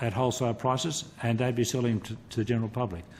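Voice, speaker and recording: Somewhat breathy, a man talks with an Australian accent. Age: 60s. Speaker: retired telecommunications engineer. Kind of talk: parliamentary committee testimony. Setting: committee hearing room. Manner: halting, many repetitions.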